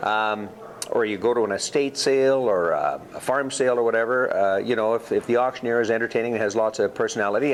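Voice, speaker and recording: A man talks at a very fast pace with fairly even intonation. Noticeable background noise runs behind him. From Alberta, Canada. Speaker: charity auction emcee and auctioneer. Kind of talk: interview answer. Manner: chatty, humorous.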